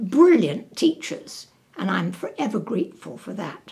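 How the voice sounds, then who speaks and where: The background is quiet as a woman talks. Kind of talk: interview answer.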